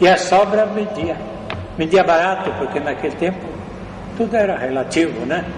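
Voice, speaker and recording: Noticeable background noise and audible room echo surround a man who speaks at a high pitch and a moderate pace, with long, frequent pauses. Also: ordinary pitch variation. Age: 80s+. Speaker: elderly local resident recounting town history. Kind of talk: oral history interview. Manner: halting, with repetitions.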